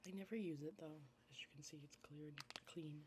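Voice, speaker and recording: A soft-spoken woman with a very deep, low voice talks at a moderate pace in a relaxed, somewhat breathy tone, her pitch varying in an ordinary way. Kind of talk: ASMR get-ready-with-me makeup video, casual talk to camera. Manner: soft-spoken, relaxed.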